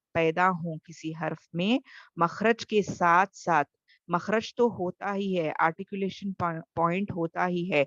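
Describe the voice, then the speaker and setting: Soft-spoken and fairly low-pitched, a woman is heard in a dry, close sound with no echo and a quiet background. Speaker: tajweed teacher. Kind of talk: online lecture.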